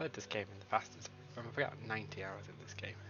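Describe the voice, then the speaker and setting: A man with an English accent talks at a fairly quick pace. His voice has vocal fry. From England. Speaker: gaming YouTuber. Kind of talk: gameplay commentary. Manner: casual, rambling.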